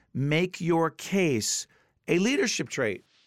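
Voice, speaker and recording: A man with an American accent speaks at a fairly slow pace, recorded with a dry, close sound with no echo. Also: very clean recording, silent background. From New Jersey. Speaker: radio and TV host. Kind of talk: interview and casual chat.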